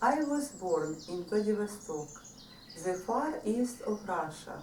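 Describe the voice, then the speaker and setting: Over noticeable background noise and audible room echo, a woman speaks very slowly at a medium pitch, her pitch swinging very widely. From Odessa, Ukraine. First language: Russian. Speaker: author. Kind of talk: book presentation.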